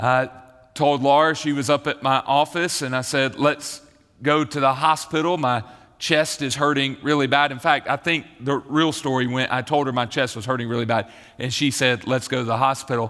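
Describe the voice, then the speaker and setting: A man with a Southern US accent, medium in pitch, at a moderate pace with fairly even intonation. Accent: Southern American. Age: 40s. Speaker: pastor. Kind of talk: sermon. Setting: church.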